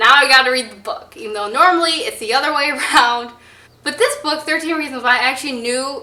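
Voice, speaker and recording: Very fast and raised into a projected voice, a woman speaks at a high pitch with ordinary pitch variation and big swings in loudness, amid noticeable background noise and audible room echo. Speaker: book vlogger. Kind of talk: casual vlog talk. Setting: public place with passers-by. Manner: animated.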